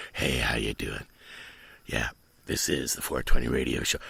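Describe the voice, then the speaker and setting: A man puts on a raspy character voice pitched very deep and low, speaking at a moderate speed. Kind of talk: casual. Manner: slow, relaxed.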